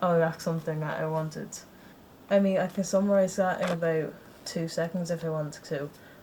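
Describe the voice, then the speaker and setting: A woman's fairly low, monotone, flat voice at a fairly quick pace, with noticeable background noise. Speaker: vlogger. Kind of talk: casual vlog chat. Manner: flat, low energy; casual, rambling with restarts.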